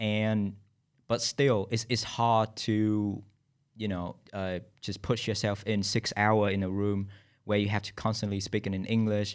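In a very clean recording with a silent background, a man with a Vietnamese accent speaks at a fairly low pitch and fairly slow pace, his intonation monotone and flat. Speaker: podcast host and graduate student. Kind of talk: casual chat. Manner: talkative.

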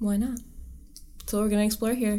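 Amid audible room echo, a woman speaks at a medium pitch in a dark, mellow tone with monotone, flat intonation. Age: 20s. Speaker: podcast co-host. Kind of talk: casual chat.

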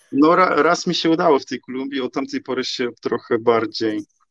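A man's ordinary speaking voice, medium in pitch, at a moderate pace in a dry, close sound with no echo. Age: 30s. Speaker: online content manager. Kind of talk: casual interview.

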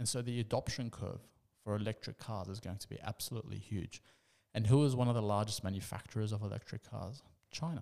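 With an Australian accent and a dark, mellow tone, a man talks at a very fast pace in a fairly low pitch with fairly even intonation. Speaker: investment commentator. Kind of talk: monologue commentary. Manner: halting.

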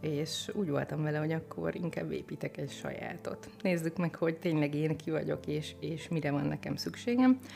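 A woman at a fairly quick pace with hardly any pauses, music in the background. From southern Hungary, village near the Mecsek hills. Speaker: life coach. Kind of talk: podcast interview.

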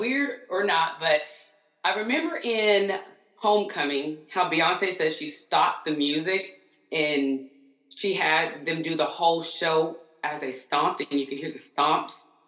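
Lively in intonation, a woman talks at a moderate pace amid audible room echo. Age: 30s. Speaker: concert-goer. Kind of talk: casual chat.

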